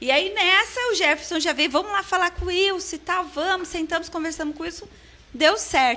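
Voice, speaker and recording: A woman's raised, projected voice, extremely high in pitch, with ordinary pitch variation at a moderate pace. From interior of São Paulo state, Brazil. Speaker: franchise school co-owner. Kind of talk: casual interview chat. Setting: studio.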